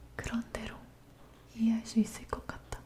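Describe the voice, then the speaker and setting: A woman whispers fairly slowly while noticeable background noise continues behind her. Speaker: ASMR artist. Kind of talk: fairy tale reading. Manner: whispered.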